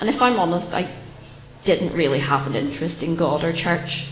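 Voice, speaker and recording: With a Northern Irish accent, a woman speaks fairly low with ordinary pitch variation, amid audible room echo and noticeable background noise. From Northern Ireland, Belfast. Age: 30s. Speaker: churchgoer sharing testimony. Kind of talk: testimony. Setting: church with audience. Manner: hesitant, frequent ums.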